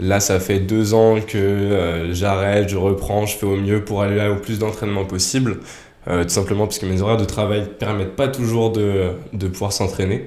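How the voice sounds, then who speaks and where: A man talks at a moderate pace with a fairly low pitch and a dark, mellow tone. His intonation is monotone and flat, with audible room echo. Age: 20s. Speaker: former competitive gymnast. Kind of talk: casual chat.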